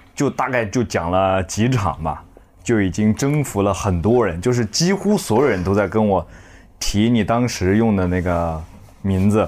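At a fairly slow pace, a man with an ordinary speaking voice talks at a fairly low pitch with ordinary pitch variation and very even loudness. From Zhejiang, China. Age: 20s. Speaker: stand-up comedian. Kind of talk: casual chat. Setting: hotel room.

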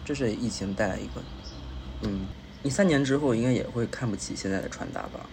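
A medium-pitched man speaks with lively intonation at a fairly quick pace, pausing long and often. Room echo and background noise are both audible. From Beijing. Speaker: guest, host's friend. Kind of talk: casual chat.

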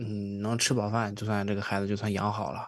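A man talks against a quiet background. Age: 20s. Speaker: podcast host. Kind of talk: casual chat.

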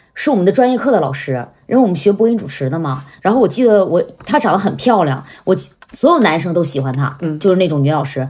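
Speaking at a very fast pace, a woman uses a fairly low pitch, an animated tone, and very wide pitch swings. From Northeast China. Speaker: comedic short-video creator. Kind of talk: casual chat.

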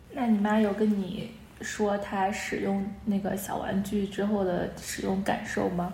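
Through noticeable background noise and audible room echo, a woman speaks at medium pitch with monotone, flat intonation. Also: fairly slow pace. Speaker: podcast co-host. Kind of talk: casual chat. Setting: video call.

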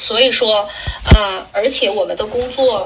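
A woman's fairly high-pitched voice amid noticeable background noise. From Liaoning, northeast China. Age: 30s. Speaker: bathing aide and company founder. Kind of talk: interview.

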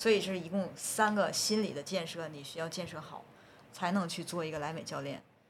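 A woman's fairly low voice at a fairly quick pace, with fairly even intonation, big swings in loudness and audible room echo. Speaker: researcher and group fitness instructor. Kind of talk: casual podcast interview.

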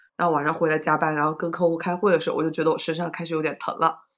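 Against a quiet background, a woman is heard. She speaks at a very fast pace. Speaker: podcast co-host. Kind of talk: casual chat on livestream. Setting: livestream recording.

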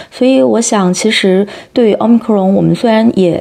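Hers is a plain, everyday voice, a woman at medium pitch speaking at a fairly quick pace. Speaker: podcast host. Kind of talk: interview.

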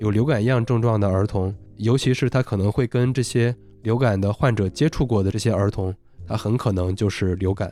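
With music in the background, a man speaks fairly quickly in a fairly low voice, his pitch varying in an ordinary way. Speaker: science podcast host. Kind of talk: solo explanatory podcast talk. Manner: halting with fillers.

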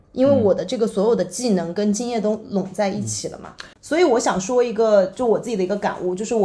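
Very fast and somewhat breathy, a woman speaks at a medium pitch with a dark, mellow tone and ordinary pitch variation. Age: 30s. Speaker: digital nomad and content creator. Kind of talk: casual chat.

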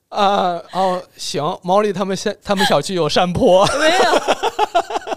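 A very slow pace with hardly any pauses. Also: man. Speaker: podcast host. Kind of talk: casual chat. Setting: studio by a window on a cold snowy day.

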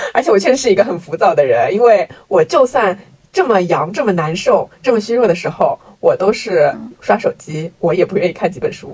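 The pace is fairly quick, and the pitch swings very widely. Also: woman, medium pitch for a woman. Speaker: podcast co-host. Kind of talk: casual chat.

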